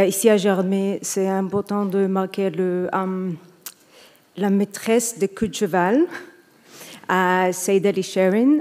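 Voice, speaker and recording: Speaking very slowly with a non-native accent, a woman uses a medium pitch. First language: not French (speaking French). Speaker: film director, award winner. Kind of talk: acceptance speech. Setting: stage with audience. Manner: halting.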